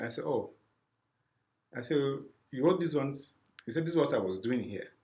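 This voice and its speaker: A man talks at a very fast pace in a somewhat breathy voice, with ordinary pitch variation and long, frequent pauses. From Sierra Leone. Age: 50s. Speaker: refugee services program specialist. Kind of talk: interview. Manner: halting, repeats words.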